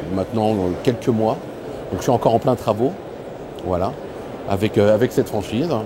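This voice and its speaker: With noticeable background noise behind him, a man talks at a fairly low pitch with ordinary pitch variation. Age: 50s. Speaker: franchise owner. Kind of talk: interview testimony. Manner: hesitant, many fillers.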